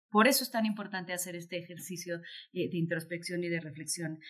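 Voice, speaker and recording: With a plain, everyday voice, a woman talks at a fairly quick pace, fairly low in pitch and with ordinary pitch variation. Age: 40s. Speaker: author and diversity consultant. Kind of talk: interview conversation.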